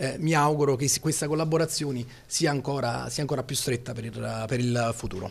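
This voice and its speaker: Somewhat breathy, a man talks at a fairly quick pace with medium pitch and fairly even intonation. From Salerno, Campania, southern Italy; Campania, Italy. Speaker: police spokesman. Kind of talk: press statement. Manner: halting. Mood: calm, courteous. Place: office. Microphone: handheld.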